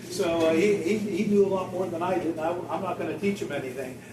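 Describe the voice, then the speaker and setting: Speaking with an American accent, at a moderate pace and with ordinary pitch variation, the voice carries audible room echo and noticeable background noise. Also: man. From western Pennsylvania. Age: 60s. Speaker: doctor giving a talk. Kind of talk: talk to a senior audience. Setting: senior center audience. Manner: casual, anecdotal, many fillers.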